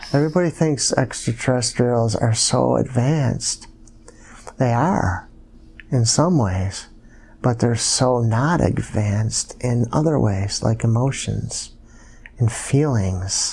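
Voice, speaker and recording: Speaking at a very slow pace, a man with a medium pitch sounds somewhat breathy over light background noise. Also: ordinary pitch variation, very even loudness. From US, Buffalo New York area; New York. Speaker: hypnosis client. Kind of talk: hypnosis session narration. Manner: halting. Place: home room.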